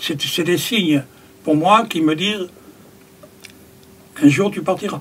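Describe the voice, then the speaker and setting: A man's high-pitched voice at a fairly slow pace, broken by long, frequent pauses, with noticeable background noise. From France, Périgord. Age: 70s. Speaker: carpenter and spiritual community member. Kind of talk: interview. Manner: halting.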